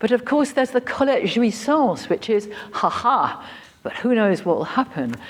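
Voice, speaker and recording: Moderately paced speech from a woman with a high pitch, ordinary pitch variation and a British accent. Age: 70s. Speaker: writer and professor of creative writing. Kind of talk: conference Q&A.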